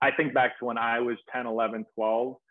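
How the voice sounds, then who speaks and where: A man with an American accent speaks at medium pitch. An unremarkable speaking voice holds a moderate pace. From Massachusetts, Peabody (Boston area). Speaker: former pro baseball player, baseball coach and youtuber. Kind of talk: interview.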